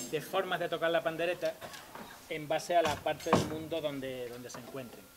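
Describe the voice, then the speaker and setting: With an Andalusian accent, a man talks at a fairly quick pace in a fairly high pitch and fairly even intonation, with noticeable background noise. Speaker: percussionist in early music ensemble. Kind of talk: concert talk introducing instruments.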